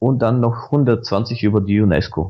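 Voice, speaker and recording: A man speaks with a Bulgarian accent. His pace is very slow. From Bulgaria, Sofia. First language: Bulgarian (speaking German). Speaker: Wikipedia volunteer. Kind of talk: casual interview. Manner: animated.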